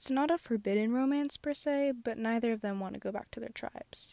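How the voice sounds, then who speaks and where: Heard dry and close with no echo, a woman with a fairly high pitch and a dark, mellow tone speaks at a moderate pace. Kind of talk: casual speedpaint commentary. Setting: closet, earbud microphone. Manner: monotone, self-conscious.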